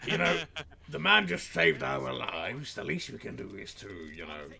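In a put-on character voice, a man speaks raspily at a moderate pace with a very deep, low pitch, over clear background noise. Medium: role play. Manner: hearty, formal and jovial.

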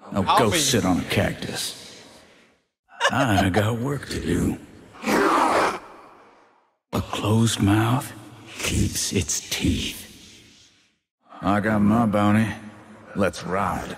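A man puts on a raspy character voice at a fairly low pitch. He talks very slowly, leaving long, frequent pauses.

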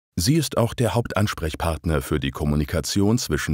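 A man talks at a moderate pace with lively intonation and vocal fry. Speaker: narrator of a training video. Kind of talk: scripted narration. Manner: formal.

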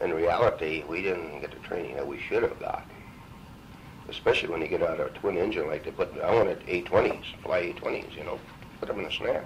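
A man with an Upper Midwest accent at a very fast pace, over light background noise. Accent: Upper Midwest American. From Minnesota. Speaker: World War II veteran, bomber pilot. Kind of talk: oral history interview answer. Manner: casual, conversational. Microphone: old recording.

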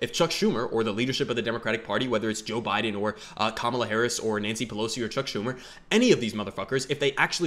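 A man talks at a fast pace. His voice sits fairly low, with a fairly bright tone.

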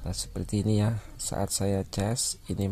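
In a very deep, low voice, a man speaks very slowly and somewhat breathily. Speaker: phone repair technician. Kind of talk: tutorial.

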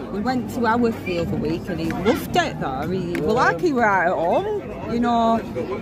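Crowd noise fills the background as a woman talks at a moderate pace with hardly any pauses, in a dry sound with no echo. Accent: Lancashire. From Oldham, England. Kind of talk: casual vlog talk outdoors. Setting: outdoors. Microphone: phone near.

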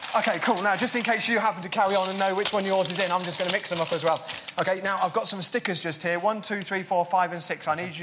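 A man with an English Midlands accent, high-pitched and very fast, with fairly even intonation and hardly any pauses, against noticeable background noise. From England, Northampton; England. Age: 40s. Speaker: magician. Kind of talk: magic performance patter. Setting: stage with audience. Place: stage. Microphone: lapel.

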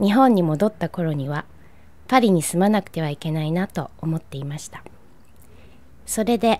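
A woman talks in a normal speaking voice at a fairly low pitch. Her intonation is lively and her pace moderate. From Japan, Nagano. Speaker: painter. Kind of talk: scripted personal narration.

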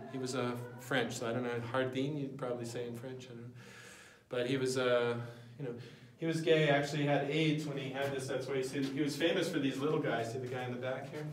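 Very fast and monotone, a man talks in flat intonation with audible room echo and light background noise. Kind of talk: informal guided tour talk. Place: tunnel cave. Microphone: phone near.

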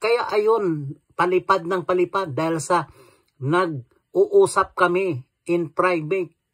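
A man's high-pitched voice at a very slow pace, with ordinary pitch variation and a dry, close sound with no echo. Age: old. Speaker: vlogger. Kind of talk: angry rant. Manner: animated.

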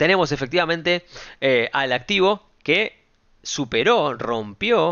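With a Rioplatense accent and an animated tone, a man's voice swings very widely in pitch over a quiet background. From Argentina, Buenos Aires area; Argentina. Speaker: stock market YouTuber. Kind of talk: market analysis video. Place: home room.

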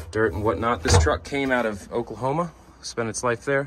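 A man talks at a medium speed, and noticeable noise can be heard behind him. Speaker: truck salesman. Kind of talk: sales walkaround commentary. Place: street. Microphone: phone near.

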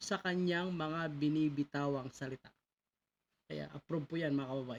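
Spoken at a moderate pace, the clip is a very clean recording with a silent background. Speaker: online news commentator. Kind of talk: reaction video commentary.

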